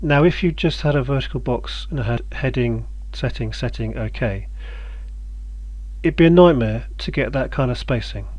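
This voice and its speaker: A man's speech, broken by long, frequent pauses, carries audible room echo. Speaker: game developer tutorial maker. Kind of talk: tutorial. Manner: casual, hesitant with many ums; fast.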